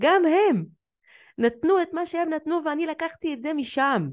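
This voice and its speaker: The pace is fairly slow. Behind the speech, the background is quiet. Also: woman. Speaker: emotional therapist and podcast host. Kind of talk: solo podcast monologue.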